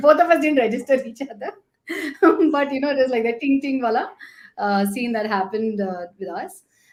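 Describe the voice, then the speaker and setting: Speaking with a Gujarati accent, a high-pitched woman uses lively intonation and big swings in loudness at a moderate pace. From India, Chennai. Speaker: sales professional. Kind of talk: casual chat.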